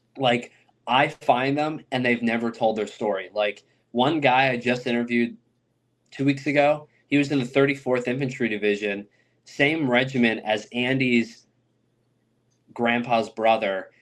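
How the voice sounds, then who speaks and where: A man with a medium pitch talks with long, frequent pauses. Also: fairly even intonation, moderate pace. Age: 20s. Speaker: oral historian interviewing war veterans. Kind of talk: podcast interview. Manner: casual, filler-heavy.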